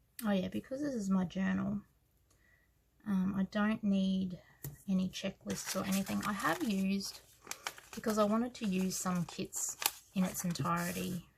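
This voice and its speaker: A woman with an Australian accent, medium pitch and a moderate pace, with noticeable background noise. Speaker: planner hobby vlogger. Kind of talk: casual tutorial. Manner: hesitant, many fillers.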